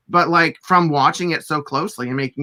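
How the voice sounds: Speaking at a moderate pace, a man with a fairly high pitch uses ordinary pitch variation and a bright, sharp tone.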